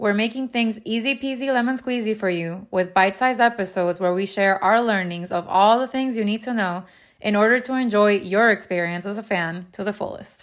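A woman with a Miami accent, fairly high in pitch and fairly quick, hardly any pauses, ordinary pitch variation, on a very clean recording with a silent background. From Venezuela and South Florida. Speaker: podcast host. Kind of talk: podcast trailer, scripted intro.

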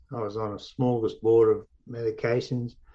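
The speaker is a man with an Australian accent. He talks very slowly. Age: 60s. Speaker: mindfulness teacher, near-death experiencer. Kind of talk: interview testimony. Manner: halting with repeated words.

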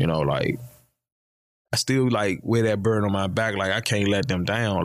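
A fairly low male voice with an American accent, ordinary pitch variation and a moderate pace. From Washington DC. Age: 40s. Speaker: stand-up comedian. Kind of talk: casual chat. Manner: laid-back.

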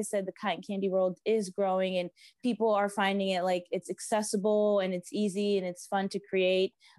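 A woman with an American accent speaks at a moderate pace in a medium-pitched, monotone, flat voice. The very clean recording has a silent background and a dry, close sound with no echo. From South Florida. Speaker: small business owner. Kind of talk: interview.

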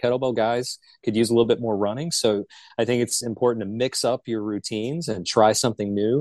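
Here a man with a medium pitch has an ordinary speaking voice, fairly even intonation and a fairly quick pace. The background is quiet and the sound is dry and close with no echo. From Charlotte, North Carolina. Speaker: utility company manager. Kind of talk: casual interview.

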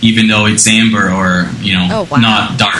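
The voice keeps a fairly even intonation against noticeable background noise. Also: man. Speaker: brewer. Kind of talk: interview answers. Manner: hesitant, many fillers.

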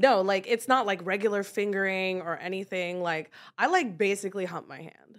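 A woman at medium pitch with fairly even intonation and big swings in loudness, moderate pace, very clean recording and a silent background. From California. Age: 30s. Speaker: adult content creator. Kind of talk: casual chat.

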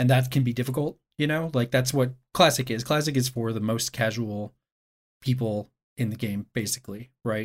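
Here a man speaks at medium pitch and a moderate pace, his intonation fairly even. It is a normal speaking voice. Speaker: video game journalist. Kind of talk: casual podcast discussion.

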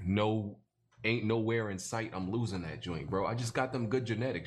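Somewhat breathy, a man with a fairly low pitch talks at a fairly quick pace with ordinary pitch variation. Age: 20s. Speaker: gaming podcast host. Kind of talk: casual chat.

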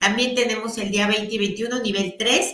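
A woman speaks with fairly even intonation. Audible echo fills the room. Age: 40s. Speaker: energy healing teacher. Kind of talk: guided healing session; live stream talk. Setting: live stream.

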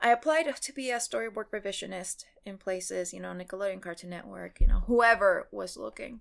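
In a very clean recording with a silent background, a woman with a Spanish accent speaks at a moderate pace. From Mexico, Cancun. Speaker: animation showrunner. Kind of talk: casual interview. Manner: hesitant, many fillers.

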